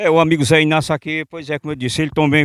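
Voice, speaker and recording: This man has an unremarkable speaking voice, fairly high in pitch, at a fairly quick pace. The recording is very clean with a silent background and a dry, close sound with no echo. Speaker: local reporter. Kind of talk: interview.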